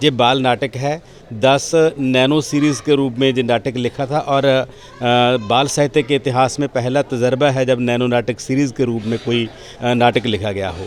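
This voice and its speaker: A man speaks with a Punjabi accent and fairly even intonation. Noticeable background noise is present. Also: medium pitch for a man. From Punjab, India (Patiala district). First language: Punjabi (speaking Hindi). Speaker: playwright and critic, award winner. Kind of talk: interview.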